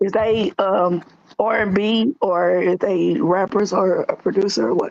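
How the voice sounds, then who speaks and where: Speaking fairly slowly with a St. Louis accent, a woman keeps her loudness very even. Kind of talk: casual chat.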